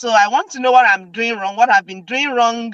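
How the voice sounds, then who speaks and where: With a dry, close sound and no echo, a woman with a Nigerian accent speaks in a fairly high pitch with ordinary pitch variation. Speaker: video host. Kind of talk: casual chat.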